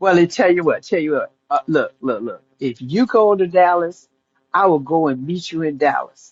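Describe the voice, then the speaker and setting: With music in the background, a woman of fairly low pitch talks at a moderate pace using lively intonation. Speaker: caller. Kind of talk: casual chat. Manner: halting.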